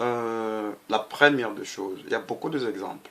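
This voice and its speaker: A man speaks with a Congolese accent at a moderate pace. His pitch variation is ordinary. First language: Lingala (speaking French). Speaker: political activist. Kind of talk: political monologue. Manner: halting.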